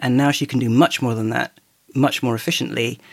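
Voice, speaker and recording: A man talks at a fairly quick pace with a British accent. His voice has vocal fry. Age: old. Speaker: charity accessibility lead, blind tech user. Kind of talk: casual chat. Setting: remote call.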